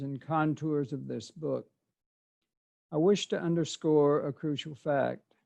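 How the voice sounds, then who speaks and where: The voice has a dark, mellow tone and an American accent. It moves at a fairly slow pace with ordinary pitch variation. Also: man. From US South, southeast Arkansas. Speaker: author and poet. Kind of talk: prepared presentation. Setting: video call.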